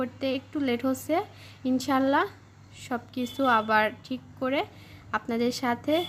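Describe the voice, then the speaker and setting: A woman's voice with a high pitch. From rural Bangladesh. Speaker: vlogger. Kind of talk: casual vlog narration. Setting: outdoors on a rooftop.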